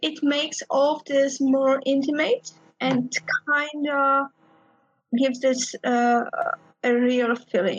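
A woman's high-pitched voice with a Polish accent, fairly even intonation, very even loudness, a very slow pace and long, frequent pauses. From Poland. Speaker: game designer. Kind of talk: interview.

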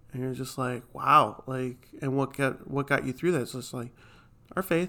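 The man has a normal speaking voice, with medium pitch, fairly even intonation, and a moderate pace. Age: 20s. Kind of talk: casual chat.

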